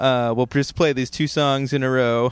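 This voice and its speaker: A man with an American accent speaks at a moderate pace and medium pitch, his intonation fairly even. It is a normal speaking voice on a very clean recording with a silent background. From Ohio. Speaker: podcast host and musician. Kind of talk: casual chat. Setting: internet call.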